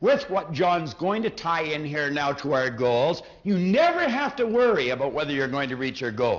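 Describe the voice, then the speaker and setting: A man with an ordinary speaking voice talks at a moderate pace and fairly high pitch, with lively intonation and hardly any pauses. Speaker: motivational speaker. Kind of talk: motivational seminar talk.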